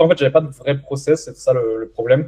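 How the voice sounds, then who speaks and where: A man's somewhat breathy voice, dark and mellow in tone, medium in pitch, at a fairly quick pace. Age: 20s. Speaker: young entrepreneur and coaching client. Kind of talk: interview testimony. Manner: hesitant, many fillers.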